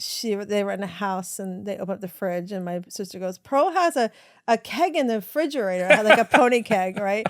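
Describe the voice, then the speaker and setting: An unremarkable speaking voice with an American accent shows big swings in loudness in a very clean recording with a silent background. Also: woman. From US South. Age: 60s. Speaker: women's empowerment coach and author. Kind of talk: podcast interview, personal storytelling. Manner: conversational with frequent fillers.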